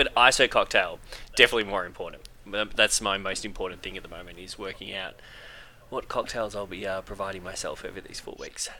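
A man speaks at a very fast pace with an Australian accent. His loudness swings widely. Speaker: podcast host. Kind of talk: casual chat.

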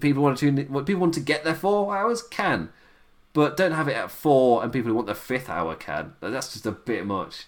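Very wide pitch swings mark this British accent, captured in a very clean recording with a silent background. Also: man, fairly high pitch for a man, fairly quick pace. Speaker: wrestling podcast host. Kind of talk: solo review monologue. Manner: halting.

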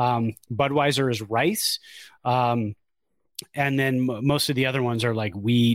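A man with a normal speaking voice, medium pitch, ordinary pitch variation and a fairly slow pace, on a very clean recording with a silent background. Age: 40s. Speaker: baseball podcast co-host. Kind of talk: casual chat.

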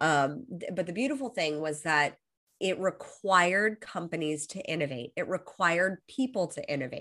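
With an American accent, a woman speaks in a bright, sharp tone at a fairly low pitch with lively intonation. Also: moderate pace, quiet background. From Los Angeles, US. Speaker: high performance coach. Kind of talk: casual interview chat. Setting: video call.

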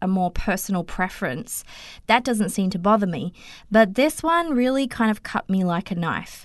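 At a moderate pace, a woman with an Australian accent speaks with ordinary pitch variation. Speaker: podcaster. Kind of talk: testimony.

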